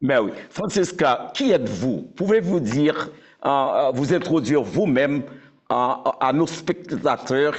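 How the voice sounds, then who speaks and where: Speaking very slowly, a man with a fairly high pitch keeps his loudness very even while his intonation stays lively. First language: Haitian Creole (speaking French). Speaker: interviewer. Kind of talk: interview.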